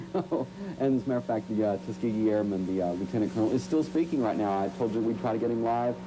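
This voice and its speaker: Amid noticeable background noise and audible room echo, a man with a fairly low voice talks very fast. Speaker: TV field reporter. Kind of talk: live TV field report. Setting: live remote shot in hallway of a base club. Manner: loud.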